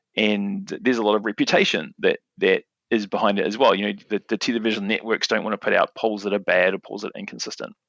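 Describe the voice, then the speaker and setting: A man at a very fast pace, with hardly any pauses. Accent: New Zealand. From New Zealand. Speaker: market researcher. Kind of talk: podcast interview. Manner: halting, many fillers and repetitions.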